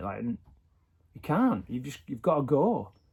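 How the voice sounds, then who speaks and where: A man with a British accent speaks at a fairly quick pace in a fairly high voice with a dark, mellow tone. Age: 40s. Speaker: vlogger. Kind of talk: personal video diary. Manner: halting.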